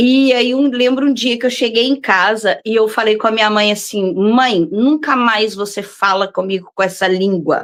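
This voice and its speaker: With hardly any pauses, a woman talks at a moderate pace in a fairly high pitch, keeping very even loudness and ordinary pitch variation. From Brazil, Belo Horizonte (Minas Gerais). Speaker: visual artist. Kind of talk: interview. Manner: hesitant, many fillers.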